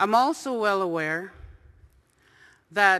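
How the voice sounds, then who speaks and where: Against a quiet background, a woman with a bright, sharp tone talks at a moderate pace and medium pitch, with ordinary pitch variation. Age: old. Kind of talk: testimony.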